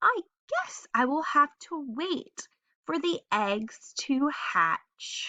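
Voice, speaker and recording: A woman's put-on character voice, high-pitched and very slow. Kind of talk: bedtime story. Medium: read story.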